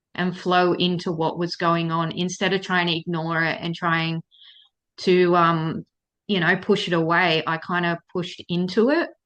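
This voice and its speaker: In an Australian accent, a woman with a fairly low pitch and a bright, sharp tone speaks at a moderate pace against a quiet background. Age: 30s. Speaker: podcast co-host. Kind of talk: casual chat.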